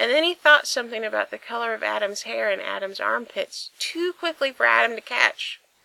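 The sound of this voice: Unforced reading voice throughout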